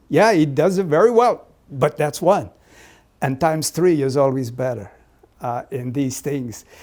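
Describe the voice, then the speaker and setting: Using a slight Portuguese accent, a man speaks at a fairly slow pace with long, frequent pauses, lively intonation and a fairly high pitch. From Azores, Portugal. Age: 70s. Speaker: deacon. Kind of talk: oral history interview. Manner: fluent, conversational.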